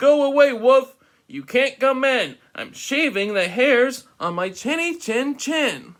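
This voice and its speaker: In a put-on character voice, a man speaks at an extremely high pitch and a fairly slow pace. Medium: read story. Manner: rude, curt.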